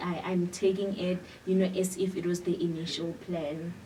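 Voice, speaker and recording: A woman's medium-pitched voice, monotone and flat, at a moderate pace amid noticeable background noise. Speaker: university student. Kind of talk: interview. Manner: halting.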